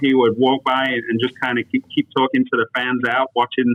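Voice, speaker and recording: A man at a medium pitch with an American accent, speaking at a moderate pace. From England. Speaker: youth golf foundation CEO. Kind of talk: podcast interview.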